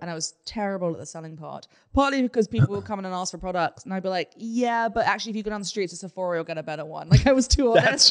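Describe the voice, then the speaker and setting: A woman with a British accent talks at a very fast pace with hardly any pauses. Her intonation is lively, her loudness swings widely, and the background is quiet. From United Kingdom. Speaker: former makeup artist. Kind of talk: casual podcast conversation. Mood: self-deprecating, amused. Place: studio.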